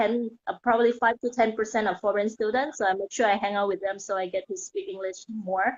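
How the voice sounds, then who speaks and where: Talking very fast in a Thai accent, a woman uses a fairly high pitch with ordinary pitch variation. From Thailand. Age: 30s. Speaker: mindset coach. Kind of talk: interview.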